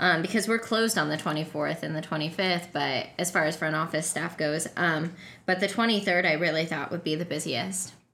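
Bright and sharp in tone, a woman with a fairly low pitch and ordinary pitch variation talks at a moderate pace with hardly any pauses. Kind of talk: casual chat.

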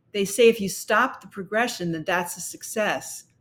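At a moderate pace, the speaker talks with an American accent, a somewhat breathy voice, and ordinary pitch variation. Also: woman. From New York City (Brooklyn). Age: 70s. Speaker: health author. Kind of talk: interview.

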